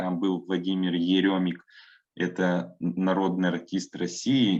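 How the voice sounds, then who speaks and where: A man talks at a very slow pace in a fairly low pitch. The background is quiet. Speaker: museum worker and trained announcer giving a workshop. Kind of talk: online workshop lecture. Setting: online workshop.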